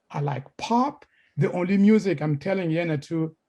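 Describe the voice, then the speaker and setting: A somewhat breathy male voice on a very clean recording with a silent background. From Congo. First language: Congolese language / French. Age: 60s. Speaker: scholar lecturer. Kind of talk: informal lecture. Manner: halting, hesitant.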